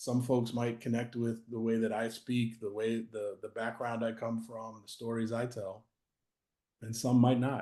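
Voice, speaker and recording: A man with an American accent talks at a fairly slow pace. His intonation is monotone and flat. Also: medium pitch for a man. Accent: Boston accent, comes and goes. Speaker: author and anti-racism practitioner. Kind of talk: interview. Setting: video call.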